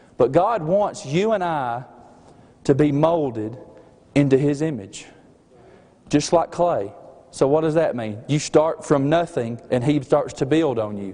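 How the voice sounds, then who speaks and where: A man with a slight Southern US accent and a fairly high pitch talks fairly slowly in a dark, mellow tone, with lively intonation and long, frequent pauses. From Alabama. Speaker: student preacher. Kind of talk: sermon. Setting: chapel service.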